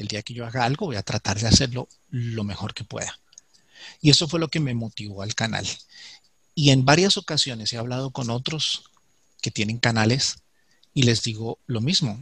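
In a very clean recording with a silent background, a man of medium pitch speaks at a moderate pace with long, frequent pauses. His loudness swings widely, his pitch varies in an ordinary way, and the sound is dry and close with no echo. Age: 40s. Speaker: ant keeper and YouTube creator. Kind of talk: interview. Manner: halting, with repetitions.

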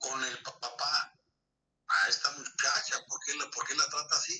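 A man is speaking. His pace is very slow. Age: 60s. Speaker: grandfather of the host. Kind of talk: life story interview.

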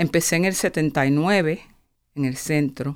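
On a very clean recording with a silent background, a woman talks with lively intonation. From Puerto Rico, raised in Pennsylvania from age seven. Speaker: nonprofit finance executive. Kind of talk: interview testimony. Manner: halting, with repetitions.

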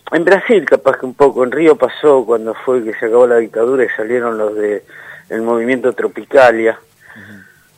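Speaking in a medium pitch, a man talks with a Rioplatense accent. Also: ordinary pitch variation, moderate pace. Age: 60s. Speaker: radio DJ. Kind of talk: interview.

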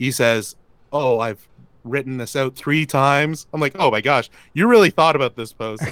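The sound is dry and close, with no echo. A man with a fairly high pitch talks at a moderate pace with ordinary pitch variation. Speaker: inbound marketing agency founder. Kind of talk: casual chat. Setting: call.

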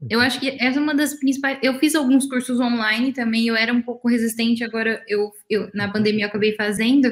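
The pace is very fast, with hardly any pauses. Intonation stays fairly even. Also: woman, fairly high pitch for a woman. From interior of São Paulo state, Brazil. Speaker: dental radiologist. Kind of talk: casual chat. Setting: live stream.

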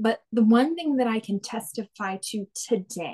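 In a dry, close recording with no echo, a woman with an American accent uses lively intonation in a fairly high, somewhat breathy voice. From Texas. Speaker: guest sharing faith testimony. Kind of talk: testimony.

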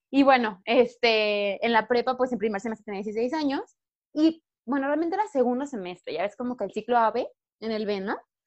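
Speaking in a Mexican accent, a woman uses a high pitch with ordinary variation at a moderate pace. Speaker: podcast co-host. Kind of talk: casual chat. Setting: video call.

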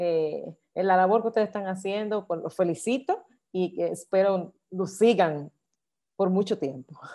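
The recording is very clean with a silent background, and a woman speaks at a fairly slow pace. Her medium-pitched voice has a dark, mellow tone and ordinary pitch variation. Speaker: singing teacher and choir director. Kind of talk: interview.

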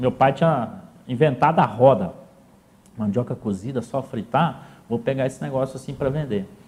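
Somewhat breathy, a man speaks at a medium pitch. His pace is moderate, and his pitch varies in an ordinary way. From southern Minas Gerais, Brazil (São Sebastião do Paraíso). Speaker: businessman. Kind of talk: interview, life story. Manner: halting, repeats words.

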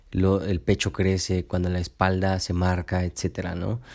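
On a very clean recording with a silent background, a man speaks at a moderate pace with a very deep, low pitch and a dark, mellow tone. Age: 20s. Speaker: podcast host and nutritionist. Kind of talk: motivational solo podcast talk. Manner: halting with frequent repetitions and fillers.

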